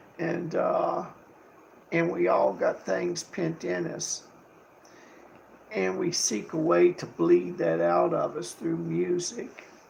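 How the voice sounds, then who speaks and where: A man speaks at a very slow pace with long, frequent pauses. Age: 70s. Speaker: livestreamer and guitarist. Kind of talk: casual livestream monologue. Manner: rambling, halting.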